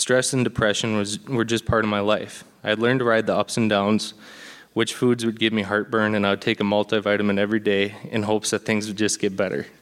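With an Upper Midwest accent, a man talks at a very fast pace in a fairly low pitch, his intonation monotone and flat. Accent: Upper Midwest American. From Minnesota (Blaine). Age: 20s. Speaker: church member being baptized. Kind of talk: testimony. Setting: church.

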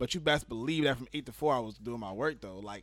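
This man's medium-pitched voice comes with an American accent. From New York City. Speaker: podcast host. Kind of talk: casual podcast conversation.

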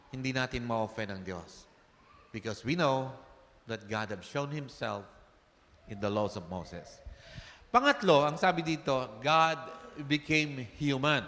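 Long, frequent pauses break up a man's fairly slow speech at a medium pitch. His tone is bright and sharp, with big swings in loudness. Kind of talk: sermon. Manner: animated, rhetorical call-and-response, urging the congregation to say amen.

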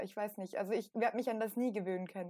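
The woman has a normal speaking voice with a fairly high pitch. Her intonation stays fairly even. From Austria. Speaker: podcast co-host. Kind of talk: casual chat.

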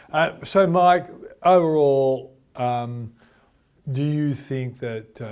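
The speaker uses ordinary pitch variation with an Australian accent. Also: man. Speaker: finance show host. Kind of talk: interview; show introduction.

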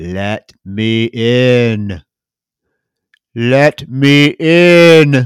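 Putting on a character voice, a man speaks at a medium pitch with lively intonation. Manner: creepy, pleading.

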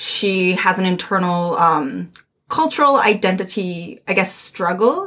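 A woman's very slow speech in a Japanese accent, medium in pitch, with lively intonation. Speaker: theatre artist. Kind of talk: casual chat.

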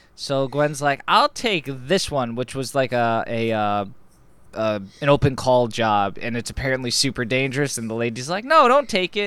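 It is a normal speaking voice, a man at medium pitch with ordinary pitch variation. He keeps a moderate pace in a very clean recording with a silent background. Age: 20s. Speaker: comic book podcast host. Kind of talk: casual banter, comic book review. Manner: joking, interrupts often.

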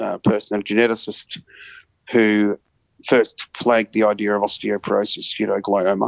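In an Australian accent, a man talks at a moderate pace with a fairly low pitch and monotone, flat intonation. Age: 40s. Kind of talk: interview.

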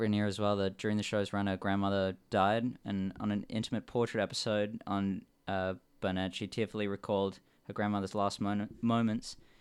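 The recording is very clean, with a silent background. A man talks at a fairly quick pace in a fairly low, monotone, flat voice. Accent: Australian. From Western Australia, Perth. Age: 20s. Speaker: podcast host. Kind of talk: scripted show intro and outro; casual interview.

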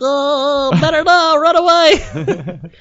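Pitched high, this voice is a put-on character act. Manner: flirty, playful.

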